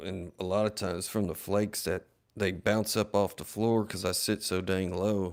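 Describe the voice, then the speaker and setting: Fairly slow, monotone speech with flat intonation on a very clean recording with a silent background. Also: man. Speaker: flintknapper livestreamer. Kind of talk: casual livestream chat while working. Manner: low-talking.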